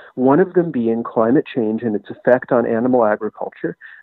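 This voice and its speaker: In an ordinary speaking voice, someone talks at a fairly quick pace with ordinary pitch variation. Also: man. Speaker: writer and historian. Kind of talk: interview.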